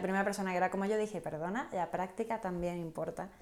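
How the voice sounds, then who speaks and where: Noticeable background noise sits behind a woman's voice. She talks at a medium pitch and a very fast pace. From southern Spain (Canary Islands and Andalusia). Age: 20s. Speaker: entrepreneur, association president. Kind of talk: casual interview.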